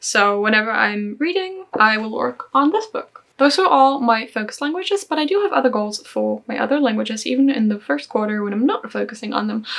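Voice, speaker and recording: Over noticeable background noise, a woman with a fairly high pitch speaks at a fairly quick pace. Her pitch swings very widely, with hardly any pauses. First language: German. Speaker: language learning vlogger. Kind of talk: casual vlog.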